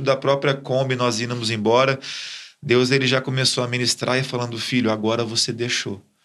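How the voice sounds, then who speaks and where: The man has an unremarkable speaking voice of medium pitch and talks at a fairly quick pace. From Brazil, Ribeirão Preto (São Paulo state). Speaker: church leader. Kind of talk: testimony.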